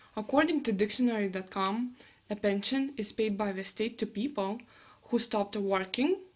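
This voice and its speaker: In a Lithuanian accent, a woman with a fairly high pitch talks at a moderate pace with ordinary pitch variation. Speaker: university student. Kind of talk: class presentation.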